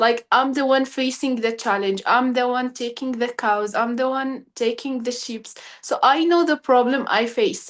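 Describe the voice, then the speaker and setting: Speaking at a moderate pace with fairly even intonation, a woman uses a high pitch in an Arabic accent. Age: 20s. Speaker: young pastoralist advocate. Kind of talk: webinar talk. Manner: halting.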